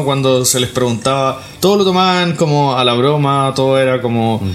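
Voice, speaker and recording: Amid noticeable background noise and audible room echo, a man with a fairly high pitch speaks with ordinary pitch variation. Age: 40s. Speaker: podcast co-host, film commentator. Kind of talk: casual chat. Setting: recording at a co-host's home.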